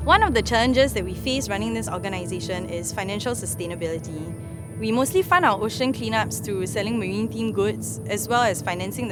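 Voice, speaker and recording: Very fast speech over background music. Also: woman. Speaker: animal scientist and scuba diver. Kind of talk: interview answer.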